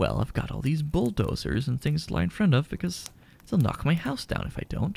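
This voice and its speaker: A man speaks. He is whispering. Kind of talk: audiobook-style reading of a novel for ASMR. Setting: home recording with fireplace sound in background. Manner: soft-spoken, whispered.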